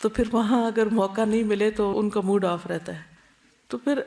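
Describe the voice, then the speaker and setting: A woman's unremarkable speaking voice with a fairly high pitch. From Pakistan. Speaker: Islamic scholar and preacher. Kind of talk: religious lecture.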